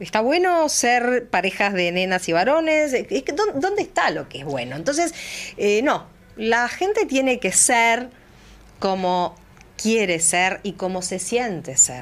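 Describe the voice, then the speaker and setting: Speaking at a very slow pace, a woman uses a fairly high pitch. Her voice makes very wide pitch swings. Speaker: former agricultural market director, chamber of commerce secretary. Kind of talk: radio interview. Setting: radio studio, also streamed live.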